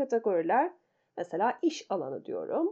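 A woman with a high pitch and a dark, mellow tone speaks against a quiet background. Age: 50s. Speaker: meditation and personal finance podcaster. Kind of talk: solo podcast talk. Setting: at home.

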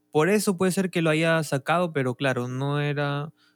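An unremarkable speaking voice from a man, fairly high in pitch, at a moderate pace with ordinary pitch variation, in a dry, close sound with no echo. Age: 20s. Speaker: podcast co-host. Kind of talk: casual chat.

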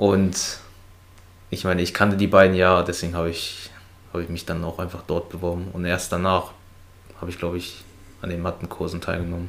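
A man with a very deep, low pitch speaks in a monotone, flat intonation at a fairly quick pace, broken by long, frequent pauses. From Brandenburg near Berlin, family from China. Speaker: friend of the host. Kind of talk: casual chat.

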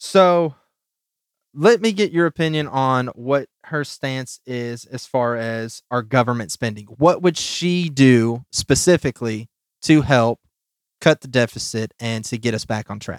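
A man with an ordinary speaking voice, fairly slow pace, ordinary pitch variation, and a dry, close sound with no echo. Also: medium pitch for a man. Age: 20s. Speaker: podcast host. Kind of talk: reading aloud; casual chat.

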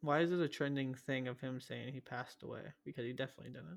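Someone with an American accent talks at a very fast pace, with ordinary pitch variation. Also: man. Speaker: podcast host. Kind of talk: casual chat.

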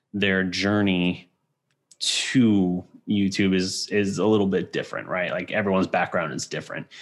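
With an unremarkable speaking voice, a man talks at a moderate pace and a fairly low pitch in a very clean recording with a silent background. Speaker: podcast host. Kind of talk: casual chat.

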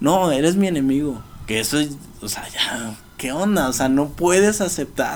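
Over noticeable background noise and audible room echo, the speaker goes at a fairly slow pace with lively intonation. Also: man, fairly high pitch for a man. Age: 20s. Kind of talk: casual interview.

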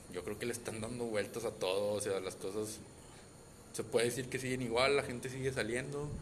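In a Mexican accent, a man at medium pitch with ordinary pitch variation talks at a moderate pace with long, frequent pauses, over noticeable background noise and audible room echo. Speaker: podcast co-host. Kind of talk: casual chat.

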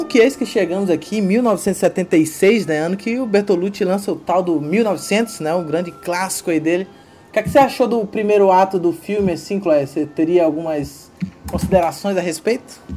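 The speech comes at a moderate pace with noticeable background noise. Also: man, high pitch for a man, ordinary pitch variation. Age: 30s. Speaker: podcast host. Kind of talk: casual film discussion.

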